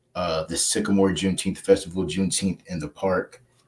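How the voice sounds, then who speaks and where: A man's very deep, low voice with monotone, flat intonation. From Texas, Fort Worth. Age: 20s. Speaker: community activist. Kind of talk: interview.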